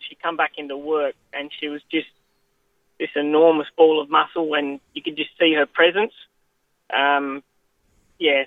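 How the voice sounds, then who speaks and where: Speaking fairly slowly with an Australian accent, a man with a fairly high pitch keeps a flat, monotone delivery while his loudness swings widely and long, frequent pauses break it up. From Western Australia, Goldfields (Coolgardie). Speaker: jockey. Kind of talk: interview.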